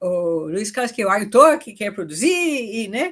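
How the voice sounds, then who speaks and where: Her pitch is fairly high for a woman. The background is quiet. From foreign-born, not Brazilian. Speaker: permaculture pioneer and farmer. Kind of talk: podcast interview.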